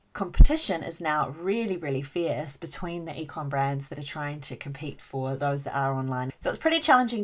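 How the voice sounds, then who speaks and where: A woman's very deep, low voice at a fairly quick pace, with ordinary pitch variation and big swings in loudness. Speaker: agency founder. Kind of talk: webinar training presentation. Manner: fast; occasionally stumbling over words.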